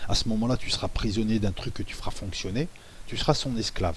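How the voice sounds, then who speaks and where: A soft-spoken man talks in a somewhat breathy voice with very wide pitch swings. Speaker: YouTuber discussing conspiracy theories. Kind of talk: monologue video commentary. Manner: halting.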